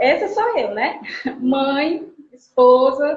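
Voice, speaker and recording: This woman speaks in a high voice. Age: 40s. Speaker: social worker. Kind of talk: self-introduction in online live. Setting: online live stream.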